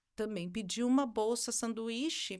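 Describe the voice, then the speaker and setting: The recording is very clean, with a silent background. A woman with a fairly high pitch talks at a fairly slow pace, her intonation fairly even. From southern Brazil (raised from 11 months, Argentine parents). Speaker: music professor and singer. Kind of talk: interview. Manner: halting, with many fillers.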